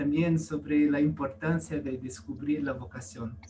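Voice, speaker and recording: A man with a non-native accent, somewhat breathy, at a very slow pace. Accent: foreign accent in Spanish. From US, California. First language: English (speaking Spanish). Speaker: priest. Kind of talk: testimony. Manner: halting.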